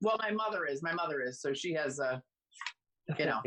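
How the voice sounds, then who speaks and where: With a slight Boston accent, a woman talks at a fairly quick pace in a very deep, low pitch. Her intonation is lively and her loudness very even. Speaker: stand-up comedian.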